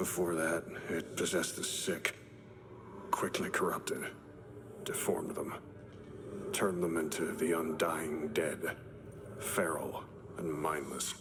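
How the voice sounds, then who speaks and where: Whispering in a cartoonish character voice, a man talks at a fairly slow pace, with clear background noise and a clear echo. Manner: clipped, terse phrasing.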